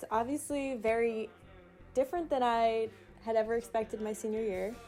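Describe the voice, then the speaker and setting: A woman talks at a moderate pace with a fairly high pitch and ordinary pitch variation. Music plays in the background. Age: 20s. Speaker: fashion student. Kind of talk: casual vlog interview. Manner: casual, uses 'like' often.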